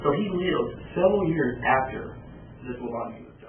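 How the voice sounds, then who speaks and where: Talking at a fairly quick pace with ordinary pitch variation, a man with an American accent is heard over noticeable background noise and audible room echo. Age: 20s. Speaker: archaeology student. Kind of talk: video presentation.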